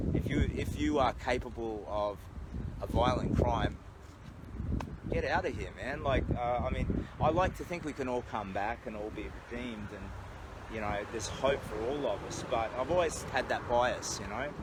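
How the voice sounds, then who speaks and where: With an Australian accent and lively intonation, the speaker is heard over noticeable background noise, with an audible room echo. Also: man, medium pitch for a man, moderate pace. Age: 50s. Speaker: charity walker and vlogger. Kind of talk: casual livestream monologue. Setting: outdoors. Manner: halting, with many fillers.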